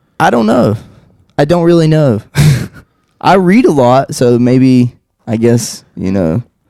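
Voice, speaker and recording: A man with a dark, mellow tone speaks at a medium pitch and a fairly slow pace. His intonation is lively, and he takes long, frequent pauses. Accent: slight Southern US. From North Carolina, Taylorsville. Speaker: painter and podcast host. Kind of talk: casual chat.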